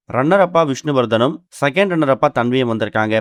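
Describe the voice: Lively intonation runs through this man's speech.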